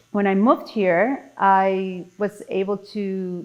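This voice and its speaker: The woman's intonation is fairly even. Her pitch is medium. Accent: Mexican. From Mexico City, Mexico. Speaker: podcast guest. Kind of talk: casual interview chat.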